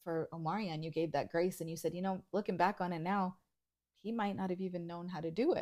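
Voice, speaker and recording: A woman with an unremarkable speaking voice talks at a fairly low pitch and fairly quick pace, her intonation fairly even, on a very clean recording with a silent background. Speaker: podcast co-host. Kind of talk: casual chat.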